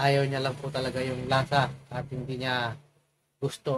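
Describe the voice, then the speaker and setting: A man talks at a medium pitch. His pace is fairly slow. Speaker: cooking vlogger. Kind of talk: casual vlog cooking tutorial.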